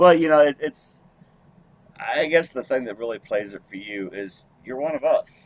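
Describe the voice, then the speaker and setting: A man speaks in a normal speaking voice, fairly high-pitched, at a moderate pace with lively intonation and big swings in loudness, recorded dry and close with no echo. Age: 60s. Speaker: truck driver and podcast host. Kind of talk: casual chat.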